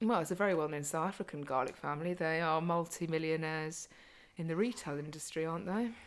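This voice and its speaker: In a British accent, the speaker talks at a very fast pace with ordinary pitch variation. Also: woman, fairly low pitch for a woman. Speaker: podcast host and fitness coach. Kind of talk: casual chat. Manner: talkative.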